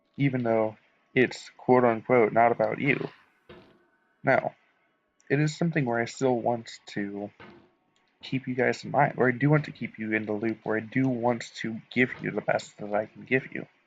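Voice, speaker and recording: Quiet and at a medium pitch, a man speaks with fairly even intonation and long, frequent pauses. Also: moderate pace. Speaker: gaming youtuber. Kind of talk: monologue over gameplay.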